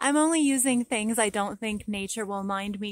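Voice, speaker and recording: A woman with a normal speaking voice at a medium pitch and a fairly slow pace, in a very clean recording with a silent background. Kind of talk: casual talk to camera. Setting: outdoors.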